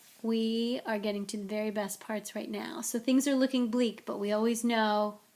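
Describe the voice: The voice reads plainly aloud. Its intonation stays fairly even.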